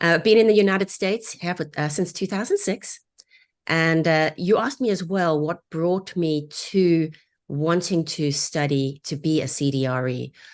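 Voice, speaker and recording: A woman with a South African accent, fairly low in pitch with ordinary pitch variation, at a moderate pace against a quiet background. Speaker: divorce real estate agent. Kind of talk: webinar interview. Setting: live online broadcast.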